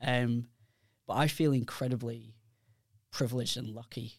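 Speaking with a British accent, a man holds a flat monotone at a medium pitch on a very clean recording with a silent background. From United Kingdom. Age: 40s. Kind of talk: casual chat.

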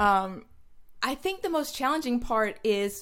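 Lively intonation moves along at a moderate pace in a very clean recording with a silent background. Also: woman. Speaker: food photographer. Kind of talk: casual interview. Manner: animated.

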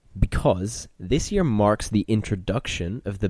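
With lively intonation and vocal fry, a man talks in a fairly low pitch with a dark, mellow tone. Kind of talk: casual chat.

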